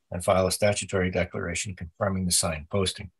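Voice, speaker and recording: A man speaks at a very fast pace in a very deep, low pitch that is somewhat breathy. His intonation is monotone and flat, and the background is quiet. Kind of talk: formal procedural reading. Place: home room. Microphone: video call.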